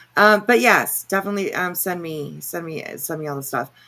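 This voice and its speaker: With vocal fry and a bright, sharp tone, a woman talks at a fairly quick pace. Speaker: livestream commentary host. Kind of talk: casual livestream chat. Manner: halting, many fillers.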